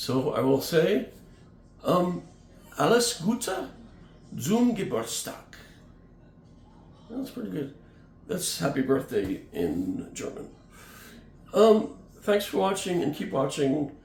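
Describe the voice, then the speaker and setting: A man's high-pitched voice with very wide pitch swings, a very slow pace and long, frequent pauses, plus audible room echo and music in the background. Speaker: music channel host. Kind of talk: casual vlog. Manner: halting, many fillers.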